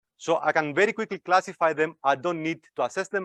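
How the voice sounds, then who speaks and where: Over a quiet background, a man talks at a fairly quick pace in a dry, close sound with no echo. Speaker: academic researcher giving invited talk. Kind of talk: lecture. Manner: fast.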